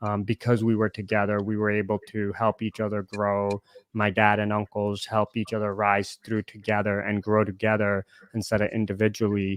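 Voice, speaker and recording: At a moderate pace, a man speaks in a monotone, flat intonation at a fairly low pitch. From India (Punjabi family), moved to US at 9-10. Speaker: podcast host. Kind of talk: casual chat.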